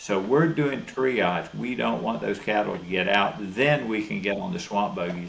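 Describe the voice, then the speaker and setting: In a Southern US accent, a man talks at a fairly slow pace with very wide pitch swings. Noticeable background noise and audible room echo fill the recording. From Florida. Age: 70s. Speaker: cattle rancher. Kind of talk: interview.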